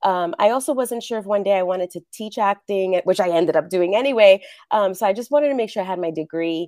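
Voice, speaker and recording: A woman speaks at a very fast pace with medium pitch, ordinary pitch variation and a dark, mellow tone. The recording is very clean with a silent background and a dry, close sound with no echo. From New York City, the Bronx. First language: Spanish. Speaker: actress and acting coach. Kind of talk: interview.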